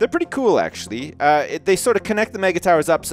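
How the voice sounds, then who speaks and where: Over noticeable background noise, a man talks at a very fast pace with very wide pitch swings, the sound dry and close with no echo. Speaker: gaming commentator. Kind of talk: let's play commentary. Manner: casual, humorous.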